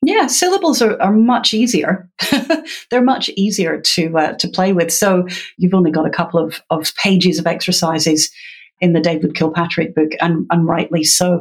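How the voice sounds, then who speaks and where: A somewhat breathy woman's voice, fairly low in pitch, with a Scottish accent and very even loudness. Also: ordinary pitch variation, moderate pace. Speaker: literacy educator. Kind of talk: interview.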